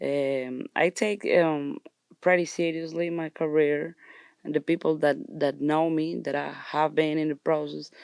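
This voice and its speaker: With a Colombian accent, a woman speaks in a monotone, flat way at a fairly slow pace, her pitch very deep and low, in a very clean recording with a silent background and a dry, close sound with no echo. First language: Spanish. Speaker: actress and musician. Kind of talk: interview. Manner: halting.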